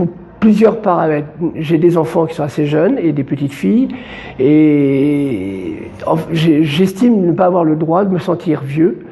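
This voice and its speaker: Noticeable background noise surrounds a man with a fairly high pitch. He speaks at a fairly slow pace with lively intonation. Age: 60s. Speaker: association activist. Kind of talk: interview. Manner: halting, many fillers and repetitions.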